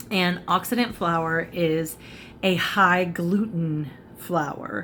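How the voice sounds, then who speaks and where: A woman speaks very slowly at a fairly low pitch, with ordinary pitch variation. Light background noise can be heard. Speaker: cooking and makeup vlogger; makeup vlogger. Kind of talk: casual cooking tutorial. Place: home room. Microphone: phone near.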